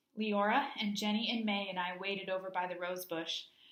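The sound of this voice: An unforced reading voice keeps its intonation fairly level.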